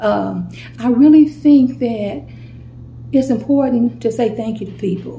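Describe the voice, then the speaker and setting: A woman at a fairly slow pace, with noticeable background noise. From St. Louis, Missouri. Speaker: YouTuber. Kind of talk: casual vlog storytime.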